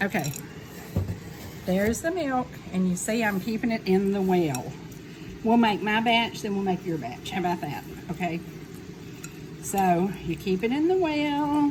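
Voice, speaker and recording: With a Southern US accent, a woman at a medium pitch talks at a fairly slow pace, her pitch swinging very widely, with long, frequent pauses and noticeable background noise. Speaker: home cook teaching her granddaughter. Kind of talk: cooking tutorial. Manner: animated.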